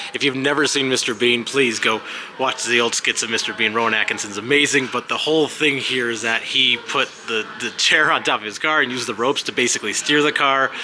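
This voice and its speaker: Very fast talk comes from a man. Behind him, the background noise is noticeable. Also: medium pitch for a man. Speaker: travel vlogger. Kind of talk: walking tour vlog. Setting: indoor museum with music playing. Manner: speaking loudly over music; animated.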